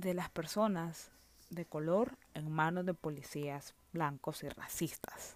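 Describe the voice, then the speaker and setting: A woman with a Nicaraguan accent at a very slow pace, in dry, close sound without echo. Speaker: film review podcaster. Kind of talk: casual solo monologue.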